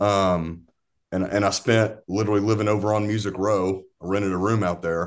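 Against a quiet background, a man with a Southern US accent speaks at a moderate pace in a fairly low pitch, his intonation flat and monotone. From East Tennessee, near Knoxville. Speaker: musician. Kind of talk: casual chat. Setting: video call. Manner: halting.

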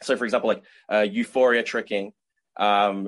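At a moderate pace, a man with a normal speaking voice talks at medium pitch with fairly even intonation. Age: 20s. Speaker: martial arts tricking athlete. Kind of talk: casual interview.

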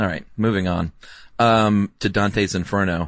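Speaking in a normal speaking voice at a moderate pace, a man with a fairly low pitch keeps his intonation fairly even over a quiet background. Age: 40s. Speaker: podcast co-host. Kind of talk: casual chat.

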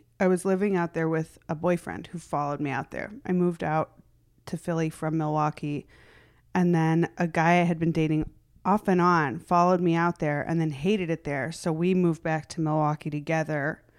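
In an American accent, a woman with a plain, everyday voice and fairly low pitch talks at a fairly quick pace with fairly even intonation, on a very clean recording with a silent background. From US Midwest. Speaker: stand-up comedian. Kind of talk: casual interview chat.

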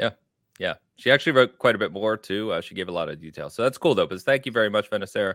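A man speaks at a very fast pace. The recording is very clean, with a silent background and a dry, close sound with no echo. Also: big swings in loudness. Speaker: podcast host. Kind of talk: casual chat.

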